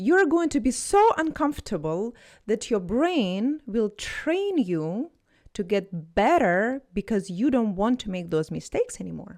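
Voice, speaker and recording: At a fairly slow pace, a woman with a Russian accent and a fairly high pitch makes very wide pitch swings, on a very clean recording with a silent background. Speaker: language tutor. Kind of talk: motivational talk to camera. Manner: animated.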